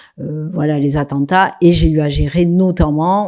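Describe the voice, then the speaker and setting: In a very clean recording with a silent background, a woman speaks with a very deep, low pitch, a dark, mellow tone and fairly even intonation. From southwest France, Toulouse. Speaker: local government executive. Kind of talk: conference talk. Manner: hesitant, many fillers.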